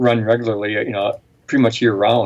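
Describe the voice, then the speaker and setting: A man speaks at a medium pitch with fairly even intonation. His pace is fairly quick. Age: 60s. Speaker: outdoor writer and editor. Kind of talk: interview. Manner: halting, many repetitions.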